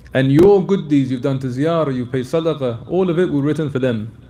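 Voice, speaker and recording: There is audible room echo around a man speaking at a fairly quick pace. His pitch is fairly high, with ordinary variation. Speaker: Islamic scholar answering questions. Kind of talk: religious lecture Q&A. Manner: fast.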